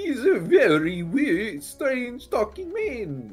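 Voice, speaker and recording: In a put-on character voice with fairly high pitch, someone speaks at a very slow pace over faint music in the background. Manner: weird, strange, odd.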